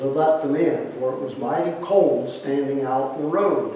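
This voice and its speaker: A man's voice with noticeable background noise. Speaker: retired history teacher. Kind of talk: newspaper column reading. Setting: outdoors.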